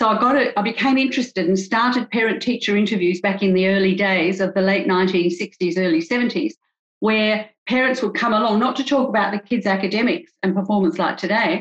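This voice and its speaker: A woman with an Australian accent speaks at a fairly quick pace. Her voice is somewhat breathy, with ordinary pitch variation and very even loudness. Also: medium pitch for a woman. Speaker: couples psychologist. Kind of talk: interview.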